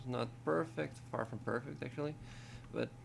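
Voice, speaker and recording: Speaking in a non-native accent at a fairly slow pace, a man uses lively intonation over a layer of vocal fry. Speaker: tutorial maker. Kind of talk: tutorial. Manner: halting, repeats words.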